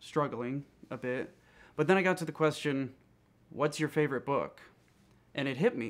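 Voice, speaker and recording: The pace is moderate. A man talks with ordinary pitch variation. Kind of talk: interview answer. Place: home room.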